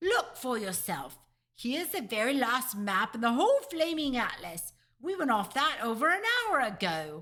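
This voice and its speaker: In a put-on character voice, the speaker shouts at a moderate pace with very wide pitch swings. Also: female-sounding voice, high pitch for a woman. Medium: read story. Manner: blustering, shouty.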